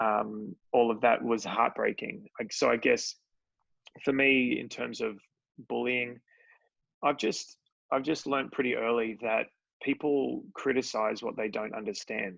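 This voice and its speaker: A man with an Australian accent at a fairly slow pace, broken by long, frequent pauses. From Australia, Sydney. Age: 30s. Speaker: entrepreneur. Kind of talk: interview.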